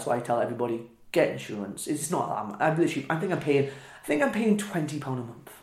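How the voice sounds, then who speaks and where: A man speaks with a Welsh accent and lively intonation. His voice is somewhat breathy and fairly high in pitch. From Wales, small Welsh town. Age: 20s. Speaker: professional wrestler. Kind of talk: casual interview chat.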